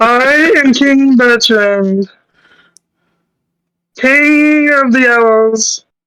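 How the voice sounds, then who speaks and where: With long, frequent pauses, a put-on character voice at a fairly high pitch moves along at a very slow pace. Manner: regal dramatic.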